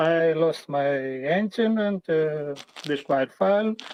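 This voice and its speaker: With a non-native accent, a man is speaking. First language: not English. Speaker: sim racing driver. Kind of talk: casual chat. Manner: halting.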